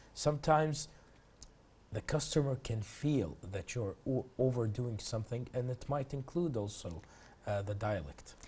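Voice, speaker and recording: Somewhat breathy and dark, mellow in tone, a man speaks at a medium pitch and moderate pace with lively intonation. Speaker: TV host. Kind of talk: TV interview.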